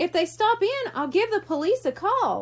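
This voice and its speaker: This woman adopts a squeaky, put-on character voice. Her extremely high pitch leaps around very widely. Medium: read story. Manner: jolly.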